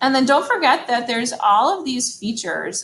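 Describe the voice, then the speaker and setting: A woman with a high pitch talks with very wide pitch swings. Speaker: photography teacher. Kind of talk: tutorial. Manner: fast; casual, hesitant with fillers.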